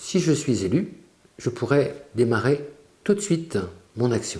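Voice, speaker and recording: The tone is dark and mellow, somewhat breathy. Delivery comes at a very slow pace. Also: man. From France, Brittany (Quiberon). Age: 60s. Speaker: local election candidate. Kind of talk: campaign statement. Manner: formal.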